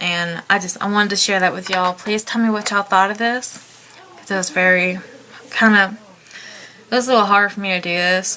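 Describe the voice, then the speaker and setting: With a Southern US accent, the speaker goes at a fairly quick pace in a monotone, flat intonation, with long, frequent pauses and noticeable background noise. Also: woman, medium pitch for a woman. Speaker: vlogger. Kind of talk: personal testimony. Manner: halting.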